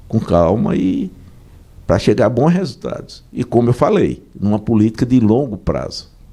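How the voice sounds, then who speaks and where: With vocal fry and a dark, mellow tone, a man speaks at a moderate pace. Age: 60s. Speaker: business association president. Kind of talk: radio interview.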